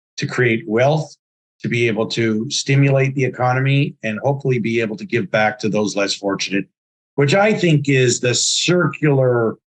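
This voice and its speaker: A man with a medium-pitched, somewhat breathy voice speaks with ordinary pitch variation. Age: 60s. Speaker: entrepreneur and investment firm founder. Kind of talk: interview.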